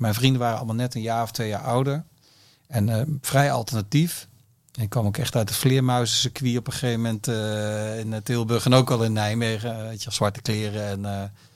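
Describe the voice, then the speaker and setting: On a very clean recording with a silent background, a man speaks at a fairly quick pace in a medium pitch with ordinary pitch variation. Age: 50s. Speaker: music industry executive. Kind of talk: interview. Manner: halting.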